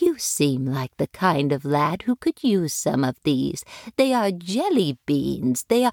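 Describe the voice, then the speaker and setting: A female-sounding voice puts on a character voice. The pitch is very deep and low. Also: fairly slow pace. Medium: read story. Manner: gentle, motherly.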